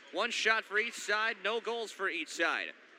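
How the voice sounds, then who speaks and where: A man speaks in a raised, projected voice with an excited, energetic tone. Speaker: sports play-by-play announcer. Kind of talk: hockey play-by-play commentary. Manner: fast, excited, energetic.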